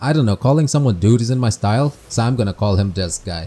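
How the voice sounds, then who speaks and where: A man with a dark, mellow tone talks somewhat breathily at a fairly quick pace. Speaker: gaming video creator. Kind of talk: scripted game review narration. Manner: monotone.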